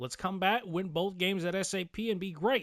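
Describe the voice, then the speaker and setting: An animated man talks at a fairly quick pace in a very clean recording with a silent background. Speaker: gaming youtuber. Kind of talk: gameplay commentary. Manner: slurred, halting.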